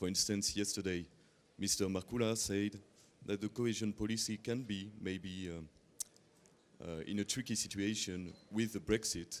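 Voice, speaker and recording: A man with a strong French accent speaks at a moderate pace in a fairly low pitch, his intonation fairly even. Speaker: journalist. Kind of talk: press conference question. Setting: press conference. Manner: halting.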